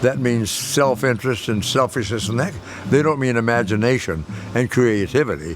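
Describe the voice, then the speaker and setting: A man's voice comes at a medium pitch and a moderate pace. Noticeable background noise is present. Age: 90s. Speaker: actor. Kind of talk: documentary interview answer.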